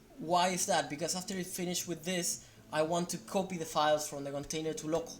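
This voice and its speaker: Someone with a non-native accent talks at a fairly quick pace. There is noticeable background noise. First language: not English. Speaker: software developer. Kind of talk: tutorial. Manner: halting; unrehearsed.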